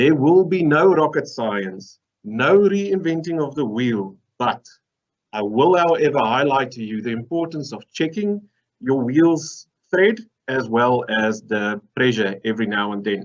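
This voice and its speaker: A man with a slight Afrikaans accent speaks at a fairly slow pace and medium pitch, his pitch swinging very widely. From South Africa. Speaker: mineral processing engineer. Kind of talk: conference presentation. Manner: humorous, conversational.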